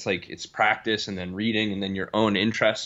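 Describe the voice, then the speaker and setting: Using a plain, everyday voice, a man speaks fairly quickly at a fairly low pitch with fairly even intonation. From US Northeast, Boston area. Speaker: strength and performance coach. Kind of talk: podcast interview.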